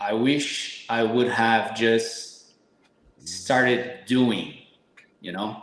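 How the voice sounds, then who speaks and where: A man speaks very slowly with a Brazilian Portuguese accent, leaving long, frequent pauses. Audible room echo surrounds his voice. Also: medium pitch for a man, fairly even intonation. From Brazil, São Paulo. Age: 30s. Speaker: supplement company owner, fitness guest. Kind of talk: podcast interview.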